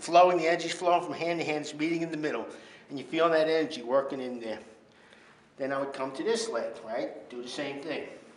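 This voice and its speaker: A man talks very fast in a fairly high pitch, his loudness swinging widely. Noticeable background noise and audible room echo fill the recording. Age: 60s. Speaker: fitness instructor. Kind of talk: tutorial. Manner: casual.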